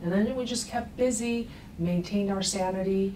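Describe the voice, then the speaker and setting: Music plays in the background as a woman speaks at a moderate pace with ordinary pitch variation and audible room echo. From Russia. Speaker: attorney. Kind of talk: TV interview.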